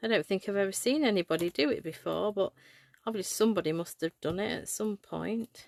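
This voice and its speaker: This voice has an English accent and a fairly quick pace, with ordinary pitch variation. The recording is very clean, its background silent. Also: woman, medium pitch for a woman. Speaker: craft demonstrator. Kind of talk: live craft tutorial. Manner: casual, hesitant with fillers.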